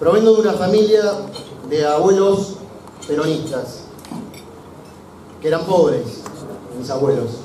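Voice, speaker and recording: A man with a high pitch and lively intonation speaks at a fairly slow pace with long, frequent pauses, with audible room echo and noticeable background noise. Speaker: engineer and small business owner. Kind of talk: political rally speech.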